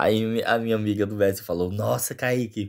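Against a quiet background, a man speaks with a northeastern Brazilian accent and fairly even intonation. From Northeast Brazil. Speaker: vlogger, exchange student; vlogger. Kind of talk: casual vlog. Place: home room. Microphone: phone near.

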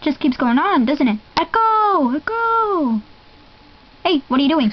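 A woman's cartoonish character voice with a high pitch, very wide pitch swings, an upbeat, playful tone and a fairly slow pace. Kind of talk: fan dub imitating a cartoon voice. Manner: upbeat, playful, scatterbrained.

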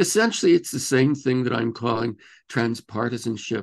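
Against a quiet background, a man with an American accent speaks with vocal fry. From Texas. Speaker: activist and author; guest. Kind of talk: interview conversation. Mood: earnest, reflective. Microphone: video call.

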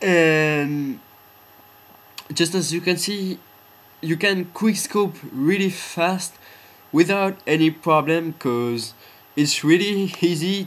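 Speaking very slowly with long, frequent pauses, a man with a high pitch talks in a non-native accent. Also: ordinary pitch variation. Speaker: gamer. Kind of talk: game tutorial voiceover. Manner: hesitant, filler-heavy.

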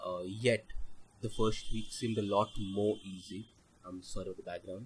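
The man's voice is somewhat breathy. He keeps a moderate pace. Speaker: learner motorcyclist. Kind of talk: vlog voice-over narration. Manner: flat, lifeless.

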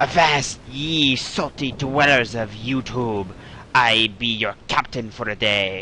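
Using a put-on character voice at a medium pitch, a man speaks at a fairly slow pace over clear background noise. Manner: theatrical, gruff.

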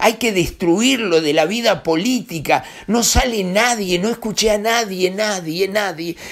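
This man talks at a fairly slow pace with hardly any pauses, his voice high-pitched and animated, showing ordinary pitch variation. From Uruguay. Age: 60s. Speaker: newspaper director and political commentator; newspaper director, political commentator. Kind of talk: political commentary monologue. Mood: angry, indignant. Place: home room. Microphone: webcam.

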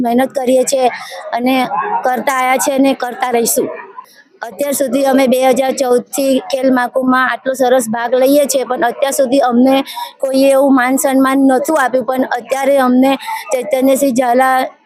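A woman speaks in a high, monotone voice with flat intonation. Her loudness stays very even, and there is noticeable background noise. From Gujarat, Padra taluka village. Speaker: village tug-of-war team player. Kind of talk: interview testimony. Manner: halting.

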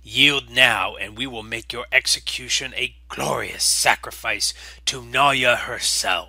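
A put-on character voice from a man, raspy and hissing, medium in pitch, at a fairly slow pace with big swings in loudness. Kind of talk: solemn, formal challenge speech. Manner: arrogant, contemptuous, threatening.

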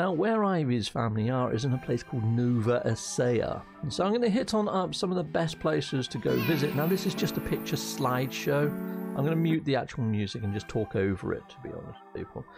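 A man talking at a fairly quick pace with clear music in the background. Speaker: vlogger. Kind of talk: casual vlog chat. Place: home room. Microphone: studio mic.

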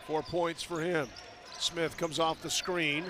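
A man's high-pitched voice comes through in a monotone, flat delivery with a dry sound and no echo, over noticeable background noise. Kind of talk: live commentary. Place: stadium. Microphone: headset.

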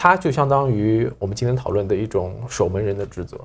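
At a fairly quick pace, a man's somewhat breathy voice shows ordinary pitch variation. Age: young. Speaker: magazine editor, sci-fi fan; program host. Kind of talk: casual panel discussion. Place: studio.

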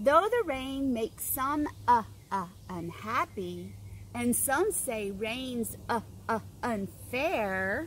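Speaking at a very slow pace with lively intonation, a woman comes through dry with no echo and light background noise. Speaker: teacher reading to children. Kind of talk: story reading and letter tutorial. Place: garden.

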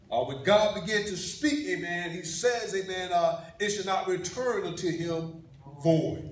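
A high-pitched male voice at a fairly slow pace, with ordinary pitch variation and audible room echo. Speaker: pastor. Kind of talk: sermon. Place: church. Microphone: camera far.

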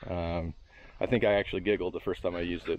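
A man's very deep, low pitch with fairly even intonation, in a dry sound with no echo. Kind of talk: tutorial. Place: garden. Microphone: helmet.

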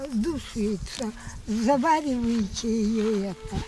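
A woman talks at a very slow pace. The sound is dry with no echo, but background noise is noticeable. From Crimea. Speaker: elderly local herb gatherer. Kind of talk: casual talk explaining herbs to visitors. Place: open country. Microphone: camera far.

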